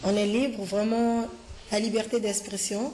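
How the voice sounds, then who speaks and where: Amid noticeable background noise and audible room echo, a woman with a fairly high pitch speaks at a fairly slow pace with fairly even intonation. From Ivory Coast. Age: 30s. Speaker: language learner. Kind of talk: interview. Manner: halting.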